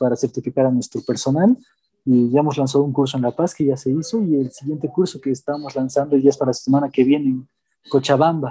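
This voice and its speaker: Somewhat breathy and dark, mellow in tone, a man speaks at a fairly high pitch and a very fast pace in a dry, close sound with no echo. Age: 20s. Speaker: café co-founder. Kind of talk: interview testimony.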